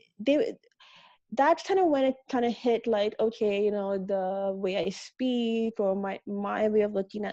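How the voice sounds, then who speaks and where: Her dark, mellow tone sits at a medium pitch as this woman talks at a moderate pace. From Canada, Montreal. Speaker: fashion and community organizer. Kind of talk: interview. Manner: halting, many fillers and repetitions.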